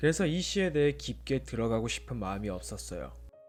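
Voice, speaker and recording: A man's voice over music in the background. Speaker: book YouTuber. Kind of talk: sleep-aid book-review talk reading a poem and commenting on it. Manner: soft-spoken, calm, relaxed.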